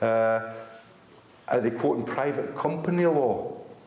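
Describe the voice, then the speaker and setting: Audible room echo and noticeable background noise surround a man speaking at a medium pitch with ordinary pitch variation. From Scotland. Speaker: activist speaker. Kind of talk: public talk to an audience. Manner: fast; animated.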